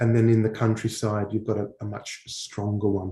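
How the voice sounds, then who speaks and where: Dark, mellow tone from a man, somewhat breathy throughout. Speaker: English teacher. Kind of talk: online Q&A session. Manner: hesitant, many fillers.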